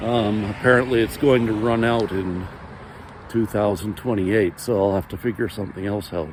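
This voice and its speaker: Noticeable background noise sits behind the speaker. A man with a fairly low voice talks at a moderate pace. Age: 50s. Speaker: vlogger. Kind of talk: personal monologue. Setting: outdoors. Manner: halting.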